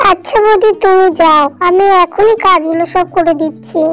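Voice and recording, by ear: Against clear background noise, a woman does a cartoonish character voice at an extremely high pitch, keeping a moderate pace and fairly even intonation.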